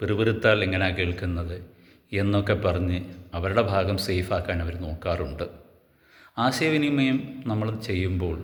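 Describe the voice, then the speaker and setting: Room echo is audible as a man speaks with a very deep, low pitch and ordinary pitch variation. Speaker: YouTuber. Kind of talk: monologue. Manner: halting.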